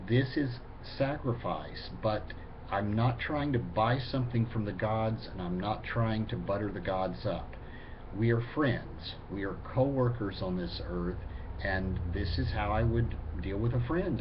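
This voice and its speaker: An unremarkable speaking voice moves at a fairly slow pace. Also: man, fairly low pitch for a man, ordinary pitch variation. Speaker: pagan video blogger. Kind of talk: casual talk to camera, answering viewer questions.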